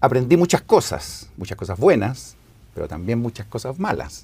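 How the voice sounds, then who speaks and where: With a dark, mellow tone and some vocal fry, a man talks at a moderate pace. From Chile, Santiago. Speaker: former church seminary director. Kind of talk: scripture class discussion.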